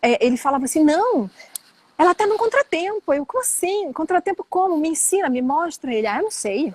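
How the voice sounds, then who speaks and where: Her pitch extremely high and swinging very widely, a woman speaks at a fairly quick pace in a dry, close sound with no echo. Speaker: flamenco singer. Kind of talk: interview. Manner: casual, conversational.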